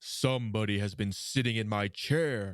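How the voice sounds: A gruff, put-on character voice from a man, fairly low-pitched, at a moderate pace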